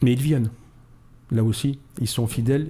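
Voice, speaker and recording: A man speaks at a medium pitch and a fairly quick pace, with ordinary pitch variation. His tone is dark and mellow, and somewhat breathy. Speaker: model maker, association founder. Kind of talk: radio interview. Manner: animated.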